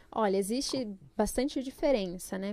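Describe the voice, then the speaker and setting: A plain, everyday voice moves along at a moderate speed. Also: woman. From São Paulo state, Brazil (Jundiaí); born in Pernambuco. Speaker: psychologist. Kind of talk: podcast interview.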